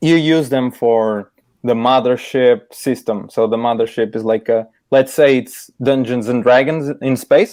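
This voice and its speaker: Speaking in a Portuguese accent, a man with a medium pitch talks at a fairly slow pace with fairly even intonation. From Portugal. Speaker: illustrator. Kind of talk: casual interview chat. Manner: halting, many repeated words.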